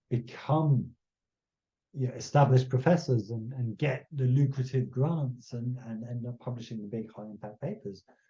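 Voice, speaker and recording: Speaking at a fairly slow pace, a man uses a medium-pitched, somewhat breathy voice with a dark, mellow tone and ordinary pitch variation. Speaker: conservation scientist. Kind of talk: lecture. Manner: halting.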